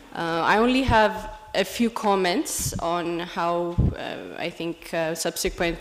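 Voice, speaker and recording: Over noticeable background noise, a woman talks at a fairly low pitch with ordinary rises and falls. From Ethiopia. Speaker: women leader, program participant. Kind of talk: public speech. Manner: hesitant, unprepared.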